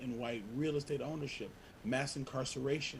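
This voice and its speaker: This man speaks with fairly even intonation. His voice is somewhat breathy. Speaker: community organizer. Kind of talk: panel presentation. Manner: fast.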